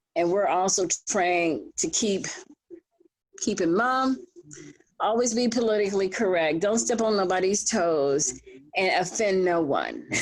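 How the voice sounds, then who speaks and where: Pausing long and often, a woman speaks at a fairly slow pace and medium pitch with very even loudness, and audible room echo surrounds her. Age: 60s. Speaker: panelist. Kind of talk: panel discussion.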